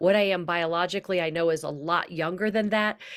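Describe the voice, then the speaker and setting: On a very clean recording with a silent background, a woman with an American accent speaks in a fairly low pitch and an enthusiastic tone. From Kentucky, US South. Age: 60s. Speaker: wellness host, yoga teacher, former TV journalist. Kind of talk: interview introduction.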